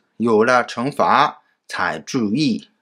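The voice has vocal fry and very wide pitch swings on a very clean recording with a silent background. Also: man. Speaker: Chinese language teacher. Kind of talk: grammar lesson.

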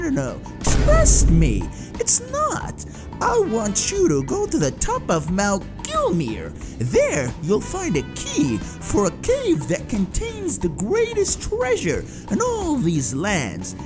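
A man at a very slow pace over loud background music. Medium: machinima. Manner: oily, falsely friendly, wheedling.

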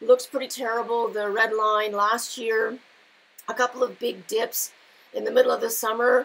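A woman speaks with a fairly high pitch and a fairly bright tone. Her voice has vocal fry and little pitch movement. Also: moderate pace.

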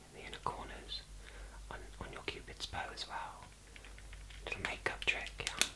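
A man whispering at a moderate pace. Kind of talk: soft-spoken personal attention role-play. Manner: soft, close, hushed ASMR voice.

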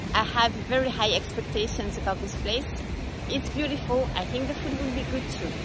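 A woman speaks at a moderate pace over crowd noise in the background. The sound is dry, with no echo. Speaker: travel vlogger. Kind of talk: casual vlog chat. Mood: cheerful, upbeat. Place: beach. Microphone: phone near.

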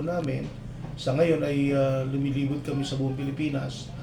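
With audible room echo and noticeable background noise, a man speaks at a moderate pace with a fairly high pitch. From Philippines, Nueva Ecija. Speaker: engineer, climate change consultant. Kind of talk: interview. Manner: halting, many fillers.

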